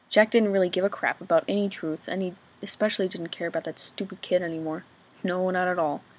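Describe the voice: Simple, plain reading aloud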